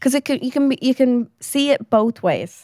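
A woman's high voice with an Irish accent, dry and close with no echo, in a very clean recording with a silent background. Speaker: podcast co-host. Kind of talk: casual chat.

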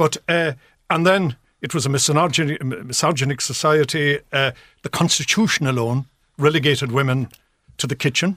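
On a very clean recording with a silent background, a man with an Irish accent speaks at a moderate pace in a fairly high pitch, with a bright, sharp tone and ordinary pitch variation. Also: dry, close sound with no echo. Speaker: journalist. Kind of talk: radio panel discussion. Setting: studio.

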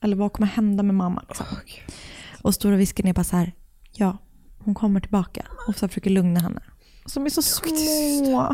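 Keeping her loudness very even, a woman with a dark, mellow, somewhat breathy medium-pitched voice speaks at a moderate pace with lively intonation and long, frequent pauses. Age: 30s. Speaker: true crime podcast co-host. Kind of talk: casual true crime storytelling.

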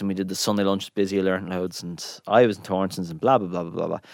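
An Irish accent on a very clean recording with a silent background. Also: man. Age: 30s. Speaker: chef. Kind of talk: interview.

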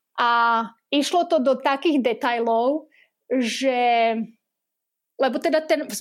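The woman's voice sits high for a woman and shows ordinary pitch variation. The recording is very clean, with a silent background. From western Slovakia, near Trnava. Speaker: amusement park manager. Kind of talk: interview.

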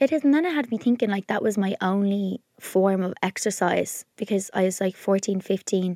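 A woman's medium-pitched voice with an Irish accent and a dark, mellow tone, at a moderate pace with hardly any pauses and ordinary pitch variation, dry and close with no echo on a very clean recording with a silent background. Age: 30s. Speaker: podcast co-host. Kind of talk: casual chat.

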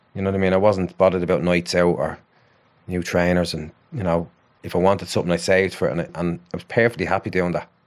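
A man's very deep, low voice in a Dublin accent, very fast and monotone, against a quiet background. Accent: Dublin Irish. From Ireland, Dublin (Ballymun). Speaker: psychotherapist. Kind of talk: casual chat.

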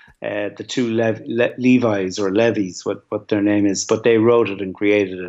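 At a moderate pace with hardly any pauses, a man speaks at a fairly low pitch in monotone, flat intonation. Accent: Dublin. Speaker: film producer. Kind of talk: panel discussion. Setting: remote from home.

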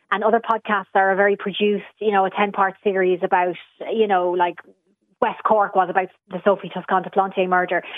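A woman at medium pitch with an Irish accent, at a fairly quick pace. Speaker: podcast producer. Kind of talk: radio panel discussion.

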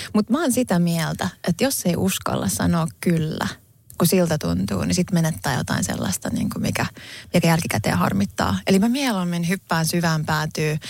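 A woman speaks with vocal fry at a fairly low pitch, and her pitch swings very widely. The recording is very clean, with a silent background. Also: moderate pace. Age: 40s. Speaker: podcast co-host. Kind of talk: casual chat.

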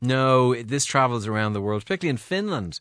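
A man talks at a fast pace with lively intonation. His tone is fairly bright. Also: medium pitch for a man.

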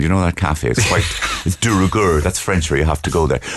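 Talking very fast in a Cork accent, a man is heard over noticeable background noise. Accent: posh Cork. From Cork, Ireland (Blackrock Road). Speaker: comedian. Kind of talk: comic in-studio banter. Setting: studio. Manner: haughty, affected.

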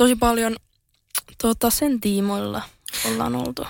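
A woman talks at a moderate pace. Her recording is very clean, with a silent background. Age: 20s. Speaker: social media influencer and entrepreneur. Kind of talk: interview.

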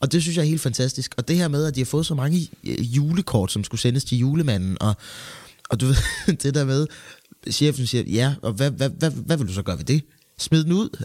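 Delivered at a moderate pace, the speech carries lively intonation. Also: man, fairly high pitch for a man. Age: 20s. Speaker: actor and co-host. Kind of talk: casual chat. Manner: halting.

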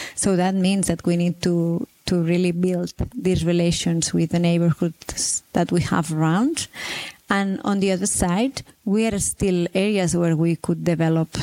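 A woman talks at a fairly slow pace with a fairly low pitch and fairly even intonation. The sound is dry and close with no echo, though noticeable background noise is audible. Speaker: urban planner. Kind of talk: interview.

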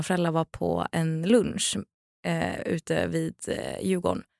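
A woman at a very slow pace, very clean recording with a silent background, dry and close with no echo. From Sweden. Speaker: influencer and TV presenter. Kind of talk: casual chat. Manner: talkative.

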